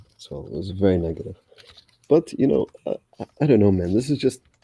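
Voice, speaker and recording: A man talks very fast in a very deep, low voice with lively intonation. The sound is dry and close, with no echo. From Egypt. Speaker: caller. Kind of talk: casual chat.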